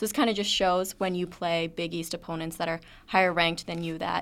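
A woman with an ordinary speaking voice talks at a fairly quick pace, her pitch fairly low and her intonation fairly even. The recording is very clean with a silent background. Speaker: student women's lacrosse reporter. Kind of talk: sports analysis discussion.

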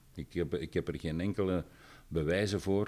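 Intonation stays fairly level. The voice belongs to a man. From Belgium, Dendermonde (East Flanders). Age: 60s. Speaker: retired university professor. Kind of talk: interview. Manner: hesitant with fillers and repetitions.

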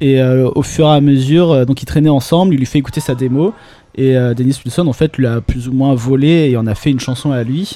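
At a fairly quick pace, a man with medium pitch talks in a dark, mellow tone with fairly even intonation. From Nice, southern France. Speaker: illustrator. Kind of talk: casual chat. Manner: halting.

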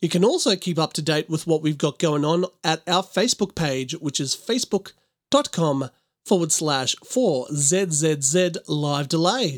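An ordinary speaking voice from a man, fairly high in pitch with ordinary variation, at a fairly slow pace, dry and close with no echo on a very clean recording with a silent background. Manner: upbeat, clear and fluent, brisk announcer delivery with a light playful touch.

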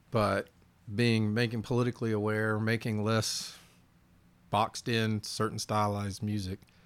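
A fairly low-pitched man talks at a fairly slow pace with a Southern US accent. His intonation stays monotone and flat in a very clean recording with a silent background. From US South. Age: 50s. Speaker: musician. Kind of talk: casual chat.

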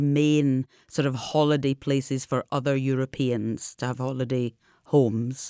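A woman's very deep, low voice with a dark, mellow tone and a Scottish accent, fairly even intonation, dry and close with no echo, on a very clean recording with a silent background. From Scotland. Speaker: expat guest. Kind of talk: interview.

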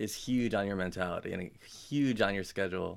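A man speaks at a moderate pace in an unremarkable speaking voice, pitched fairly low. His intonation stays fairly even. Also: very clean recording, silent background. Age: 20s. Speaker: gym owner and personal trainer. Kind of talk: casual chat. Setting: studio.

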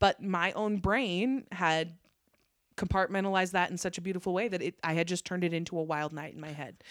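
A woman with a plain, everyday voice and an American accent talks at a fairly quick pace at medium pitch, with ordinary pitch variation and big swings in loudness. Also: very clean recording, silent background. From northern Nevada. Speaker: stand-up comedian. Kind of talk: casual chat. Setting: at her home.

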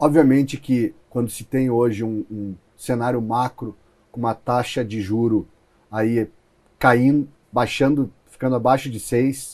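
Speaking at a fairly slow pace, a man keeps a medium pitch and fairly even intonation, with big swings in loudness. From Rio Grande do Sul, southern Brazil. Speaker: venture capital investor. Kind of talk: interview. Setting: studio. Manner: halting, with fillers and repetitions.

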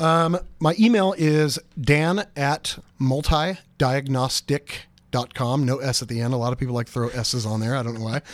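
Here is a man with medium pitch and an unremarkable speaking voice. He talks at a moderate pace with ordinary pitch variation. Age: 40s. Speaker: company CEO. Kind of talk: interview.

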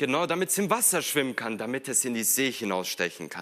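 A man talks at a fairly quick pace with lively intonation and a bright, sharp tone. Vocal fry runs through his voice. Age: 20s. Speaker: preacher / youth ministry worker. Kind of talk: sermon.

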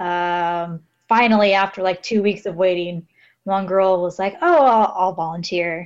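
A woman with an American accent and an unremarkable speaking voice talks at a fairly slow pace and medium pitch. Her intonation is fairly even, and the background is quiet. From Los Angeles, California. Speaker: guest, English teaching assistant in Japan. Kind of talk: casual chat.

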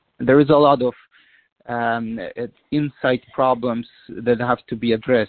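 A man with a Polish accent talks fairly slowly at medium pitch in a monotone, flat delivery. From Poland. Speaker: diplomat. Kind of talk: interview.

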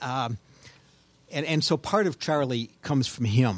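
A man speaks with an American accent. His pace is moderate and his pitch variation ordinary. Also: very clean recording, silent background. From Cleveland, Ohio suburbs. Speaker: author. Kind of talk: casual chat.

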